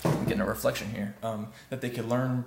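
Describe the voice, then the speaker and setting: A soft-spoken man at medium pitch, with ordinary pitch variation and noticeable background noise. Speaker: web development vlogger. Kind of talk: casual vlog monologue. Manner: halting, many fillers.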